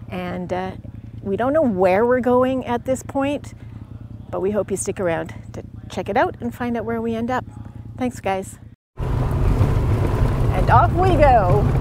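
Loud background noise surrounds a woman talking at a fairly slow pace. Her long, frequent pauses come through in a dry sound with no echo. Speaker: vlogger. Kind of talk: casual vlog chat. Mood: cheerful, upbeat. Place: forest. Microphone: lapel.

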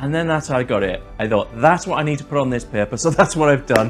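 A man's voice with ordinary pitch variation, faint music in the background. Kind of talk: casual storytelling to camera. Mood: upbeat, laughs often. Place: home room. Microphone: lapel.

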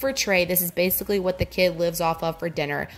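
A woman talks at a very fast pace while faint music plays in the background. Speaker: vlogger. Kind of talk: casual cooking tutorial narration. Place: kitchen.

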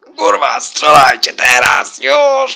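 This is a put-on character voice. It moves along fairly slowly. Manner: shouting orders, urgent.

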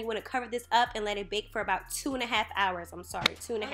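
Faint music plays behind a woman who talks at a very fast pace with ordinary pitch variation. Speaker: home cook vlogger. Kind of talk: tutorial. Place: kitchen. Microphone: phone near.

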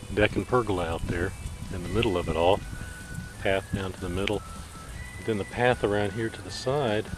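At a very fast pace with ordinary pitch variation, the voice sounds dry with no echo as faint music plays in the background. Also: man, fairly low pitch for a man. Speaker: camping vlogger. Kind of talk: casual vlog narration. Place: open country. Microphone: phone near.

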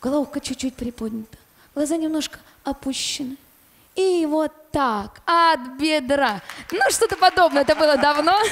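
A woman speaks with crowd noise in the background. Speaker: guest. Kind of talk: storytelling talk on TV show. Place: studio. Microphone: handheld.

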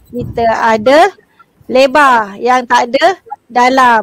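The pace is very slow, the background quiet and the sound dry with no echo. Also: woman. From Malaysia. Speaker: secondary school teacher. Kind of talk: online exam revision class. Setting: video call livestream. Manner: animated, laughs often. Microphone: video call.

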